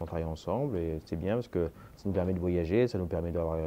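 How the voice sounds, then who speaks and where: Delivered at a fairly quick pace, the voice has a dark, mellow tone. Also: man. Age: 40s. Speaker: master tailor. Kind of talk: interview. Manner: hesitant.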